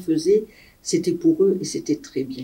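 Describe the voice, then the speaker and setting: A woman speaks with a dark, mellow tone that is somewhat breathy. Her intonation is lively and her pace moderate. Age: 60s. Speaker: retired nurse. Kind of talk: interview testimony.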